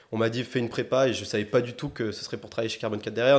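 Very fast and in a flat monotone, a man speaks at a medium pitch. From southwest France, Agen. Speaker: climate-energy consultant. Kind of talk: interview conversation. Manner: halting, many fillers and repetitions.

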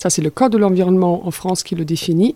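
A woman speaks with a slight German accent. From Germany. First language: German (speaking French). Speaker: circular economy project director. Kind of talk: interview.

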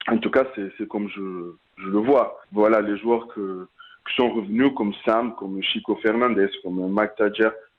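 A man's voice at a fairly slow pace, with fairly even intonation. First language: Portuguese (speaking French). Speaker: rugby player. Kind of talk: interview. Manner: halting.

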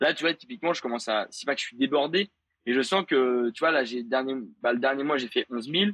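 At a very fast pace, a man speaks with lively intonation and a medium pitch. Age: 20s. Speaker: 3D animator and content creator. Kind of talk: casual interview chat. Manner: hesitant, many fillers.

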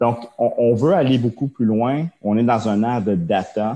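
Against a quiet background, a man speaks in a dark, mellow tone. His pace is fairly slow. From Quebec. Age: 30s. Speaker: tech entrepreneur, former hockey goaltender. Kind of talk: interview. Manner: halting, many fillers and repetitions.

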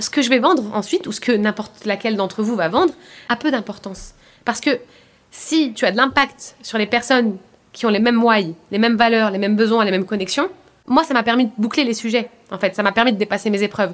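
An unremarkable speaking voice from a woman, fairly high in pitch, with ordinary pitch variation and a fairly quick pace. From France, Paris suburbs (Seine-Saint-Denis). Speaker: coach and work psychologist. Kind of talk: casual interview.

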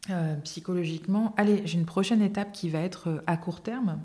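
Her voice has a dark, mellow tone at medium pitch and is somewhat breathy. The woman speaks at a fairly slow pace with ordinary pitch variation. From Limousin, France. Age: 30s. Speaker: stroke and epilepsy patient, public relations worker. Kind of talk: interview testimony. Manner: hesitant, many fillers and restarts; lively, dynamic.

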